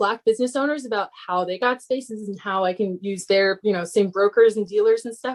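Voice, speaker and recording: Delivered fairly quickly, the speech shows ordinary pitch variation. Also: woman. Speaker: printmaker. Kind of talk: lecture Q&A. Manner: fast.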